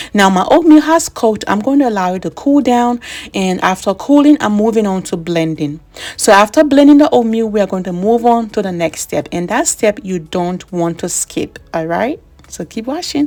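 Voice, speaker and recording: With a Liberian accent, the voice moves through very wide pitch swings. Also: woman, fairly high pitch for a woman, moderate pace. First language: Bassa. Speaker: beauty vlogger. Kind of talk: tutorial. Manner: casual.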